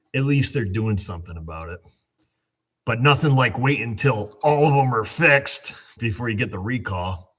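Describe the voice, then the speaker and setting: A man mumbles at a moderate pace and medium pitch, with lively intonation. The recording is very clean, the background silent. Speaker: auto mechanic hosting a livestream. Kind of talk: casual livestream chat reading comments. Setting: live stream on camera. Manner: mumbling.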